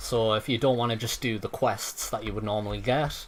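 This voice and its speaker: Music plays in the background. The speaking is at a fairly quick pace with fairly even intonation. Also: man. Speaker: game modder and streamer. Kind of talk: live gameplay commentary.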